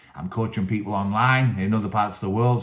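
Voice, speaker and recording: Recorded very cleanly against a silent background, a man with a Teesside accent speaks at fairly low pitch and a fairly quick pace with fairly even intonation. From northern England, Teesside. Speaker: wrestling coach and channel host. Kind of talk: solo video talk, book review. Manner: casual, many fillers.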